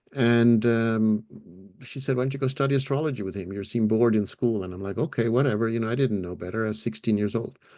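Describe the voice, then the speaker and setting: A man speaks very fast at a medium pitch in a dark, mellow tone. His intonation stays fairly even. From Switzerland, Zurich. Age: 60s. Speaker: astrologer. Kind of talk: interview answer, personal story. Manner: halting with repetitions and fillers.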